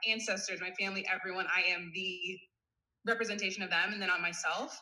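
A woman with an American accent and a bright, sharp tone, at a very fast pace with fairly even intonation. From US Midwest, suburban Cleveland, Ohio. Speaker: wellness coach, former volleyball player. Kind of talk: casual interview chat.

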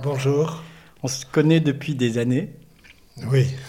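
The pace is very slow, with fairly even intonation. The tone is dark and mellow, and somewhat breathy. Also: man. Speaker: podcast host. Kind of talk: interview.

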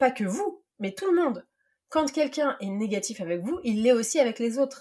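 A woman's high-pitched voice with very wide pitch swings at a moderate pace. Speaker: podcast host and life coach. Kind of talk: read monologue.

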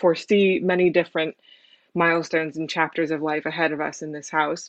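Speaking in a Californian accent, a woman uses a fairly low pitch with monotone, flat intonation. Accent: Californian American. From San Francisco, California, US. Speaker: immigrant interviewee. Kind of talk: personal testimony.

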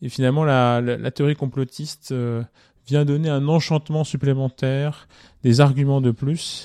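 Dark and mellow, a man's fairly high-pitched voice moves at a fairly slow pace in a monotone, flat intonation. The very clean recording has a silent background and a dry, close sound with no echo. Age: 30s. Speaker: podcast co-host. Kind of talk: casual discussion.

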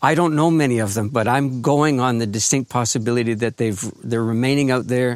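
At a fairly quick pace, a man speaks in an ordinary speaking voice at medium pitch with ordinary pitch variation. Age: 60s. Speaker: author and grief educator, farmer. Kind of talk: interview. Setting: remote recording at his farm.

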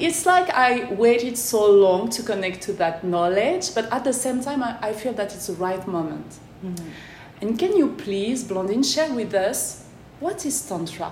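With a French accent, a woman speaks at a fairly high pitch and a fairly slow pace, her pitch swinging very widely, amid noticeable background noise and audible room echo. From France. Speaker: podcast host. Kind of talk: interview; casual monologue. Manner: careful articulation.

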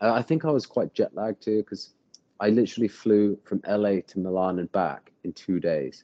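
At a moderate pace, a man with an American accent talks in a fairly low pitch with ordinary pitch variation. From England (Bath). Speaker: professional skateboarder. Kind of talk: casual chat.

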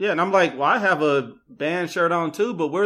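A man's high-pitched voice, bright and sharp in tone, with ordinary pitch variation and a fairly quick pace. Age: 30s. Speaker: podcast guest, bartender. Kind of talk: casual chat.

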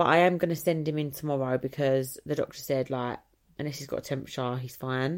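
In an English accent, a woman with a very deep, low pitch talks at a very fast pace with fairly even intonation. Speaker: vlogger. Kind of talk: casual chat. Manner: rambling, hesitant.

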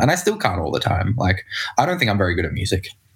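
A man's fairly low, somewhat breathy voice with an Australian accent. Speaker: singer-songwriter and producer. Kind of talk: casual chat.

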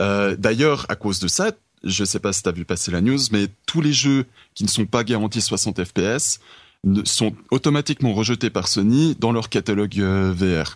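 A man with a plain, everyday voice, fairly low in pitch with ordinary pitch variation, at a fairly slow pace, in a dry, close sound with no echo against a quiet background. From Switzerland. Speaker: esports federation representative. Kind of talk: casual chat.

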